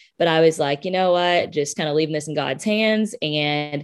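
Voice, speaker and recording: With a Southern US accent, a woman talks in a very deep, low pitch and fairly even intonation. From US South, Birmingham, Alabama. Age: 20s. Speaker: public relations specialist. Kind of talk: interview conversation.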